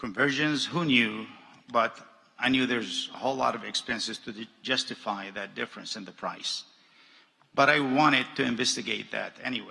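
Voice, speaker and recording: A man with an Arabic accent, medium in pitch, with ordinary pitch variation and a moderate pace. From Jordan. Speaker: businessman. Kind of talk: commencement speech.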